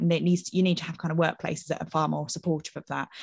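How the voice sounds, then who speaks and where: This woman has a fairly low pitch. Vocal fry runs through her speech. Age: 30s. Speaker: marketing manager. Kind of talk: casual chat. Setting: video call with live audience.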